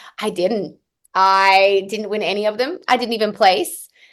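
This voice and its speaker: A woman's fairly high voice in an American accent, at a fairly slow pace against a quiet background. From Australia. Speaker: country singer and entrepreneur. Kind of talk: interview.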